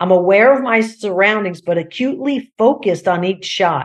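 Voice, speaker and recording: The speech has a plain, everyday voice at a middling speed, its pitch shifting in a normal way. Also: woman. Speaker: golf coach. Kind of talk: interview.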